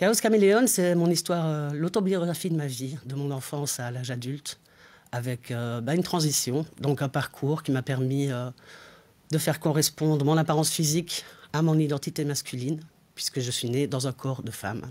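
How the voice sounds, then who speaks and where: Here a man talks at a moderate pace. His pitch is fairly high, with ordinary variation. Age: 40s. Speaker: author. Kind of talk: interview monologue. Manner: hesitant, many fillers. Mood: calm, lightly humorous. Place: studio. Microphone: lapel.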